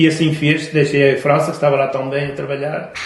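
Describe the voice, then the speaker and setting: With fairly even intonation, a man speaks over noticeable background noise, with audible room echo. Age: 70s. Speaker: grandfather, war veteran. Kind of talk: testimony. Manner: halting, with repetitions.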